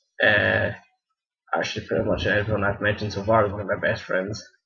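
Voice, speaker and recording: A man speaks in a Scottish accent. His pace is moderate. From Scotland. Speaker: video blogger. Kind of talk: casual Q&A vlog. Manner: halting, many false starts.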